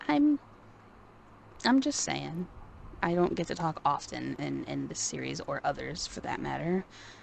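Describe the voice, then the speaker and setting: A soft-spoken woman talks with long, frequent pauses. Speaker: podcast co-host, wrestling fan. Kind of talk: casual chat. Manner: quiet, soft-spoken.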